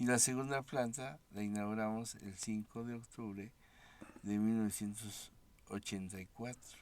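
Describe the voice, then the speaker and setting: It's an unremarkable speaking voice, delivered at a fairly slow pace with fairly even intonation. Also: man, fairly low pitch for a man. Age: 60s. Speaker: founder of an institution for the blind. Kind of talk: interview. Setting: studio.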